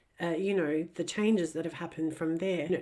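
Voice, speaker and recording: Here a woman with an Australian accent speaks at a moderate pace in a fairly low voice. Her intonation is monotone and flat, and the recording is very clean with a silent background. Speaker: ex-Jehovah's Witness commentator. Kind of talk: casual commentary monologue.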